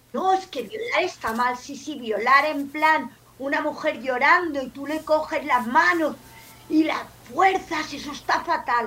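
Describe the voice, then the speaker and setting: In a raised, projected voice, a woman speaks at a high pitch and a fairly slow pace, with ordinary pitch variation and big swings in loudness. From Barcelona, Catalonia. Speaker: podcaster and game-based learning advocate. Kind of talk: casual chat.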